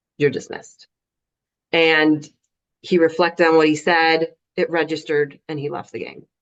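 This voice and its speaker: Speaking at a moderate pace, a woman with a very deep, low pitch keeps a monotone, flat intonation, with long, frequent pauses and big swings in loudness. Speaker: soccer referee. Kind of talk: video call panel. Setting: video call.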